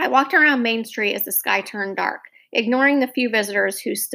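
An unforced reading voice carries the speech. Its pitch variation is ordinary.

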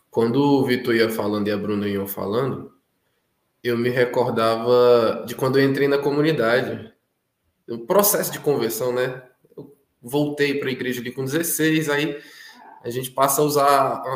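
A man talks fairly slowly, leaving long, frequent pauses, while audible room echo hangs around his words. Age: 20s. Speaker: consecrated community member. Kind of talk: testimony.

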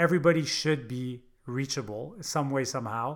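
Very clean recording, silent background, and a man with an unremarkable speaking voice. His pitch is fairly high, with ordinary pitch variation. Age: 40s. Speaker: entrepreneur and business coach. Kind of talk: casual interview.

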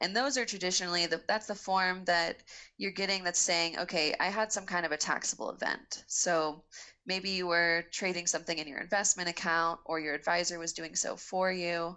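Using an unremarkable speaking voice, a woman with an American accent talks at a moderate pace and fairly low pitch, her intonation fairly even. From Texas. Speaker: financial advisor and podcast co-host. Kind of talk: casual chat.

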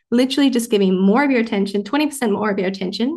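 A woman speaks in an Australian accent with ordinary pitch variation. The background is quiet. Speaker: mindset coach and medical doctor. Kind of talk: casual podcast chat with coaching advice.

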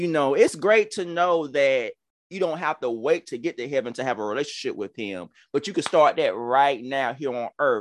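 This man has a fairly high pitch, an animated tone and lively intonation. He keeps a moderate pace against a quiet background. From Georgia, US South. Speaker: podcast host and pastor. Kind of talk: religious talk show, casual preaching. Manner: animated, excitable.

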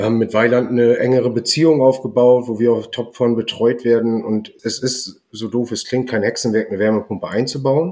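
Dark and mellow in tone, a man at medium pitch talks at a fairly quick pace with fairly even intonation and hardly any pauses. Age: 30s. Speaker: heating installer, business owner. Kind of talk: casual interview.

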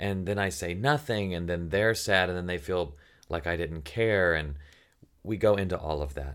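A man talks with a Southern US accent and a very deep, low pitch. His pace is moderate, with ordinary pitch variation. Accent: faint Southern. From Tennessee. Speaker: podcast host and writer. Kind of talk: casual chat.

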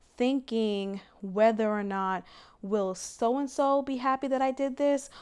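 In a normal speaking voice, a woman talks fairly slowly at a fairly high pitch with ordinary pitch variation, on a very clean recording with a silent background. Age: 20s. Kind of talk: devotional podcast monologue, testimony. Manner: candid, reflective, laughs often.

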